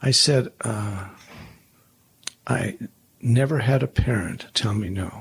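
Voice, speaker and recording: A man with an American accent speaks at a very slow pace in a medium-pitched, somewhat breathy voice, his lively intonation broken by long, frequent pauses. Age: 70s. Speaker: former pastor and leadership consultant. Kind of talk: interview conversation.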